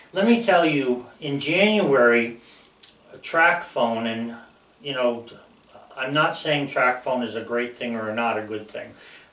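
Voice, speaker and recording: In a room with audible echo and noticeable background noise, a man speaks at a fairly slow pace. His pitch is medium, with ordinary variation. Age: 60s. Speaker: YouTuber. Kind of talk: casual monologue. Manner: rambling, hesitant with fillers.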